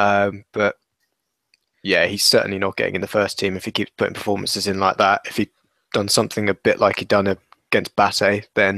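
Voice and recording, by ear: A man talks at a fairly quick pace in a fairly low pitch, with a bright, sharp tone and vocal fry. His intonation is monotone and flat, and the sound is dry and close with no echo.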